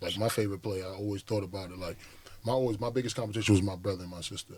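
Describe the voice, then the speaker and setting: A man's very fast, somewhat breathy speech at a fairly low pitch, with an American accent, fairly even intonation and big swings in loudness. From Brooklyn, New York (Crown Heights, Flatbush). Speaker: professional basketball player. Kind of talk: podcast interview.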